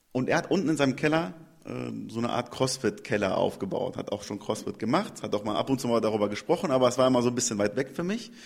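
The man's delivery is extremely rapid. His pitch moves in a lively way. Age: 30s. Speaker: CrossFit trainer and gym owner. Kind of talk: interview. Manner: hesitant with filler sounds.

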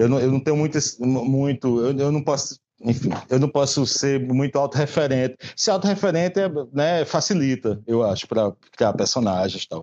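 A man talks at a moderate pace with a fairly high pitch. His intonation is lively. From Brazil, Paraíba backcountry (Patos). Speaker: comic book author. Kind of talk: casual interview. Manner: halting, many repeated words.

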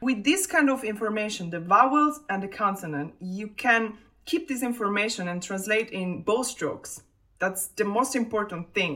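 A woman talks in a fairly high pitch with an Italian accent and a bright, sharp tone. Her intonation is lively and her pace moderate. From Italy. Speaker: double bassist. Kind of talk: interview.

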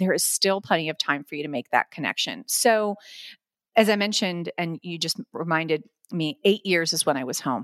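A normal speaking voice with an American accent, lively intonation, and a fairly quick pace, dry and close with no echo, very clean over a silent background. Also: woman. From Florida. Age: 40s. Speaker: headhunter. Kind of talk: interview.

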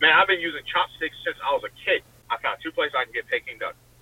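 A man talks very fast in an American accent. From US South, Richmond, Virginia. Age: 20s. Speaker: truck driver and pitmaster. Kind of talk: casual interview. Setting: in a truck, driving (early part).

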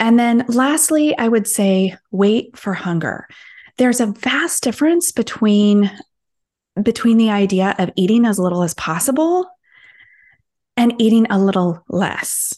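This woman has an unremarkable speaking voice, pitched fairly high with lively intonation. She talks at a fairly slow pace over a quiet background. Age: 40s. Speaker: health coach. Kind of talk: interview.

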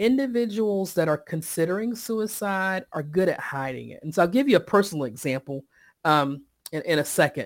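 Speaking at a moderate pace with a Southern US accent, the voice swings very widely in pitch and heavily in loudness over a silent background on a very clean recording. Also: woman, fairly low pitch for a woman. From Eastern North Carolina, Sampson County. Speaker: mental health workplace consultant. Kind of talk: interview.

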